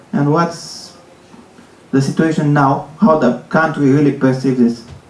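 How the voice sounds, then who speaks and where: Speaking at a fairly slow pace, a man with a fairly high pitch is heard over noticeable background noise and audible room echo. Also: ordinary pitch variation, very even loudness. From Romania. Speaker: audience member asking a question. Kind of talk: audience question.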